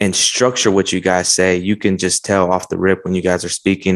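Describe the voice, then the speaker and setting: Here a man speaks with a very deep, low pitch. His intonation is monotone and flat. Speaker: podcast host. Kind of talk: casual chat. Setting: video call. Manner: casual, informal.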